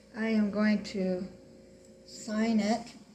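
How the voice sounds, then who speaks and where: A woman speaks at a fairly high pitch. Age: 60s. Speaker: painting instructor. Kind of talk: tutorial. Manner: casual, chatty.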